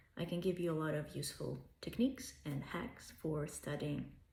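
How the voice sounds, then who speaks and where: A woman with a Russian accent and vocal fry, at a moderate pace, in audible room echo. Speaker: language tutor. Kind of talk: self-promotional pitch.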